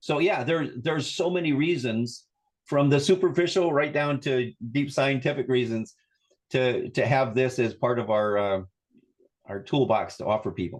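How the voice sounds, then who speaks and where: A man speaks in an ordinary speaking voice at a medium pitch and a moderate pace. His pitch varies in an ordinary way. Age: 60s. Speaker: wellness coach and therapist. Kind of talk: interview conversation.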